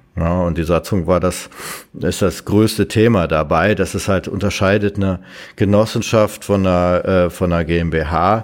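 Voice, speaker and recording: This man's voice is very deep and low, with fairly even intonation. He talks at a fairly slow pace. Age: 50s. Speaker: IT company founder. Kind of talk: interview. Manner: hesitant with many fillers.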